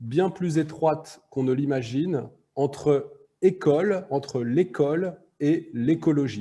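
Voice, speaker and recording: A man with a French accent speaks at a fairly slow pace, his fairly high pitch moving with ordinary variation. His tone is dark, mellow and somewhat breathy. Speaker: arts school director. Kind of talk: lecture.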